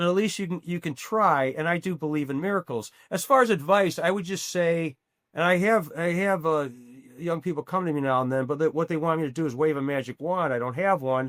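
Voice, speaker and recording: Fairly high in pitch, a man's voice moves with ordinary variation. He keeps a fairly quick pace. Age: 60s. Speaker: actor and musician. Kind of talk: podcast interview. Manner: halting, many repetitions.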